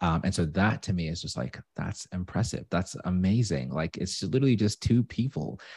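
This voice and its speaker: His pitch is very deep and low, with vocal fry. The man moves at a moderate pace with hardly any pauses. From Zimbabwe. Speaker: podcast promoter. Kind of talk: casual interview chat.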